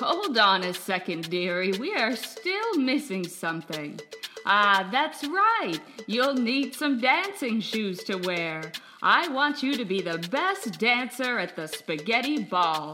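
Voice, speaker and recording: A female-sounding, put-on character voice speaks at a fairly slow pace and fairly high pitch, with clear background noise. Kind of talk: bedtime story character acting. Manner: warm, motherly, calling her dearie.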